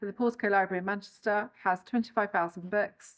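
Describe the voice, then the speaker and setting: At a fairly quick pace, a woman with a medium pitch talks in a normal speaking voice. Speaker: library creative producer. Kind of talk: casual talk to camera.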